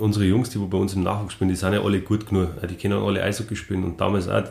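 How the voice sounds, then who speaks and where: With a Bavarian accent, a man speaks in a fairly low, somewhat breathy voice and a monotone, flat intonation. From Rosenheim, Upper Bavaria, Germany. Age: 40s. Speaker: former ice hockey player. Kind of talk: casual interview.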